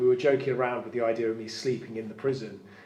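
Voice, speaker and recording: A man speaks at a medium pitch, with noticeable background noise and audible room echo. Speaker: prison site manager and live stream host. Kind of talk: live-streamed ghost tour. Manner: fast; halting.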